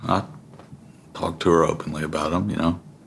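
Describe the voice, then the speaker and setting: A man with an Alabama accent talks fairly quickly in a very deep, low voice with monotone, flat intonation. Noticeable background noise runs behind him. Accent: Southern US (Alabama). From US South, Alabama (Tuscaloosa area). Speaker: Marine veteran and father. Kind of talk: interview testimony.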